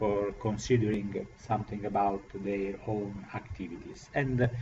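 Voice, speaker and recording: A man speaks with an Italian accent and fairly even intonation. There is audible room echo along with noticeable background noise. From Italy. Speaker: professor. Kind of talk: lecture. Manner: slow; halting.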